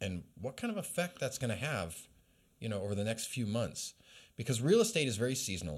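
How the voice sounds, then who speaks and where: A man talks at a fairly quick pace in a medium pitch, with very wide swings in pitch. The recording is very clean, with a silent background. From Alaska. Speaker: podcast interviewer. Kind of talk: interview.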